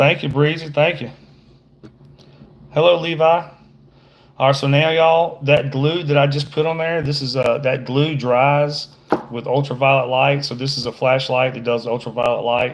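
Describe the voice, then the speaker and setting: A man with a fairly high pitch speaks at a moderate pace with fairly even intonation and long, frequent pauses. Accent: American. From Georgia, US. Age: middle-aged. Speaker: fishing guide. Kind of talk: livestream tutorial with casual chat. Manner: casual, halting with fillers.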